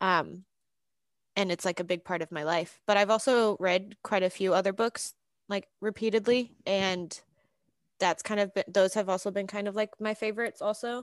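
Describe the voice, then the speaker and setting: In a very clean recording with a silent background, a woman uses a normal speaking voice at medium pitch, moving at a moderate pace with fairly even intonation. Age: 20s. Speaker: podcast guest. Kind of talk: casual chat.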